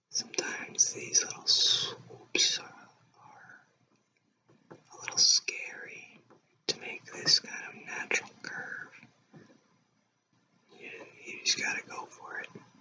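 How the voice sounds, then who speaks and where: Whispering at a very slow pace, the speaker leaves long, frequent pauses while the loudness swings widely. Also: man. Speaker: illustrator. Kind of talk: ASMR drawing commentary. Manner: whispered.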